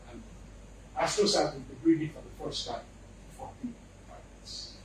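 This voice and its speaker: A man speaks at a fairly quick pace amid audible room echo and noticeable background noise. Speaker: invited speaker on space science. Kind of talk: lecture. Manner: animated.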